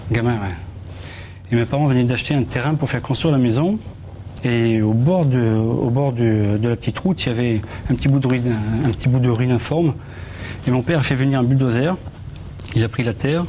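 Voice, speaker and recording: A man with a southern French accent speaks at a medium pitch and a fairly quick pace, with long, frequent pauses. Noticeable background noise is present. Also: ordinary pitch variation, very even loudness. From southern France, Toulouse. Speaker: metal detectorist and magazine editor. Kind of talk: TV studio interview. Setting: TV studio. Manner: halting, repeats words.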